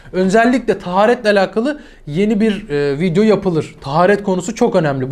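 An animated man talks with very wide swings in pitch. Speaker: religious teacher. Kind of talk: religious tutorial to camera.

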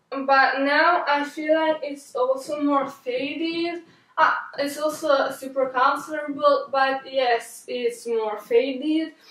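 There is audible room echo as a woman speaks at a very slow pace, her pitch high and her intonation fairly even. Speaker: fashion vlogger. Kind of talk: casual talk to camera. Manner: halting, stuttering. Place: home room.

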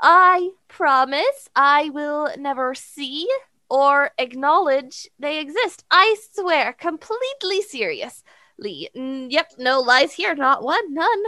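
In a put-on character voice, a woman speaks slowly at a high pitch, with a bright, sharp tone and lively intonation.

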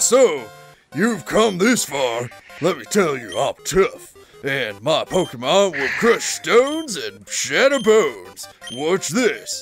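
Faint music plays behind a put-on character voice delivered at a middle pitch and a fairly slow pace. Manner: boastful, tough, menacing.

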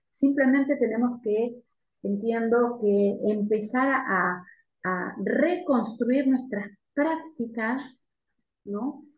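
A woman with a high voice speaks very slowly with ordinary pitch variation. The background is quiet, with audible room echo. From Argentina. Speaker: university lecturer. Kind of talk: academic Q&A. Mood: calm, reflective. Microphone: video call.

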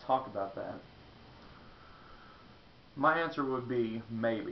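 Slow and marked by vocal fry, a man speaks at medium pitch with ordinary pitch variation while room echo is audible.

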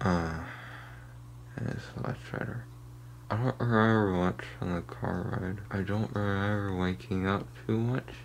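A man speaks at a very deep, low pitch with very wide pitch swings and a fairly slow pace. Audible room echo surrounds his voice. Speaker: youtuber. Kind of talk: casual vlog. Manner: woozy, halting.

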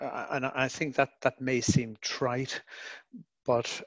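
A man talks in an Irish accent. The sound is dry and close, with no echo. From Ireland. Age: 50s. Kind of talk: online Q&A. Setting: video call.

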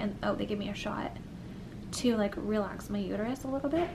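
A woman talks at a moderate pace, with noticeable noise in the background. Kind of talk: casual vlog chat. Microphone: phone near.

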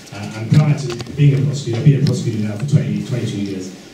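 A man's fairly quick speech, with ordinary pitch variation, comes through noticeable background noise and audible room echo. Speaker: guest. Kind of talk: lecture. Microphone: camera far.

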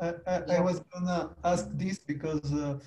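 Speaking with a Spanish accent, a man talks at a fairly slow pace in a monotone, flat intonation. Light background noise is present. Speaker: university lecturer. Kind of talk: webinar moderation. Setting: video call. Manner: halting. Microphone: video call.

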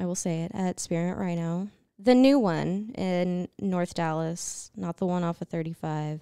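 A woman speaks at a fairly slow pace in a fairly low pitch, with ordinary pitch variation. The sound is dry with no echo, over a quiet background. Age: 20s. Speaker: stripper and adult content creator; podcast guest. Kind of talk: casual chat. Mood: amused, candid storytelling. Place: studio. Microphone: handheld.

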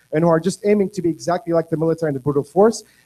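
A man speaks in a high pitch with a dark, mellow tone and an Arabic accent. Pitch variation is ordinary, and the background is quiet. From Egypt, Cairo. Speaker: activist; panelist. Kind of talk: panel discussion. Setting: stage with audience. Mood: earnest, critical. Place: hall.

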